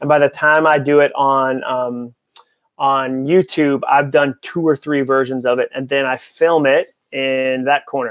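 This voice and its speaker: Monotone and flat, a man speaks with an American accent. His fairly high voice keeps a fairly slow pace. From New England (Massachusetts). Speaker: author and speaker. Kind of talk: live Q&A stream. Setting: home office, filming live.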